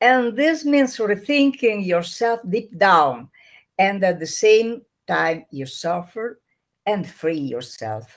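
Over a quiet background, a woman with an Italian accent speaks at a very slow pace with very wide pitch swings. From Italy. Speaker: trainer and activist; trainer. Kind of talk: interview. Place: home room.

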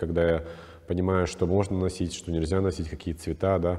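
A man with a non-native accent speaks in a very deep, low voice. The background is quiet. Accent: foreign-sounding accent in Russian. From Czech Republic. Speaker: stylist; guest. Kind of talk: interview. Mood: calm, warm, reflective. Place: studio. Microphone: lapel.

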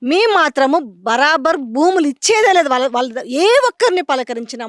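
The sound of this woman's voice is dry and close, with no echo. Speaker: field reporter. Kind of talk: field interview and commentary.

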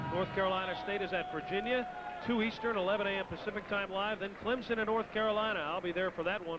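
This man's high-pitched voice, ordinary in its variation, moves at a fairly quick pace amid noticeable background noise. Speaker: basketball play-by-play announcer. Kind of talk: live sports commentary.

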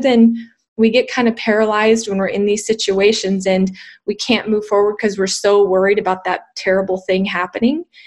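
A woman speaks in a monotone, flat way at a moderate pace, over a quiet background. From New Mexico. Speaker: dental industry education executive; interview guest. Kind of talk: interview. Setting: live video stream. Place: home room. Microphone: webcam.

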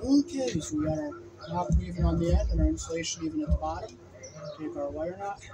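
Loud background noise fills the clip as a man talks at a very fast pace. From United States. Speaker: electrician. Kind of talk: tutorial. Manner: halting. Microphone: camera far.

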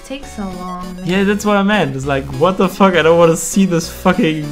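This is someone reading aloud. The voice sounds natural.

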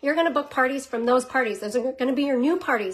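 Over a quiet background, a woman speaks at a high pitch with ordinary pitch variation. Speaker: direct sales team leader. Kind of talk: casual vlog chat, coaching tips. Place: home room. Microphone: phone near.

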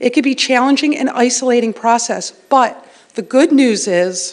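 A woman's high-pitched voice at a moderate pace. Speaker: parent, public commenter. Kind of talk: public comment at a meeting. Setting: township board meeting.

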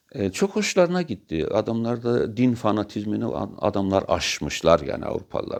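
A man speaking at a fairly slow pace. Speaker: religious commentator. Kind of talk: monologue talk. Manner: animated; halting.

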